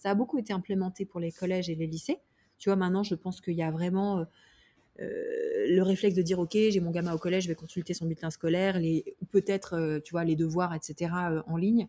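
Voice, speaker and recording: The voice moves at a fairly quick pace with a dark, mellow tone and fairly even intonation. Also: woman, medium pitch for a woman. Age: 30s. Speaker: startup founder. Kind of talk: interview. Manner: halting.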